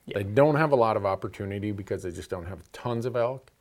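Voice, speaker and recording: The recording is very clean and the background silent, carrying a plain, everyday voice whose pitch varies in an ordinary way. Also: man. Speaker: hunting show host. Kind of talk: casual chat.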